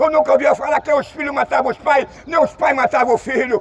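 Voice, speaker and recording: A man talks with an extremely high pitch and fairly even intonation while noticeable background noise fills the recording. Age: 60s. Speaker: street preacher. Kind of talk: sermon.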